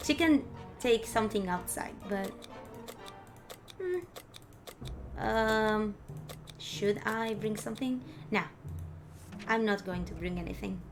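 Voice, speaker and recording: A woman speaks at a fairly slow pace with a non-native accent. Background noise is noticeable. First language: Spanish. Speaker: vtuber streamer. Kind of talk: gameplay commentary with reading game text aloud. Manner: halting.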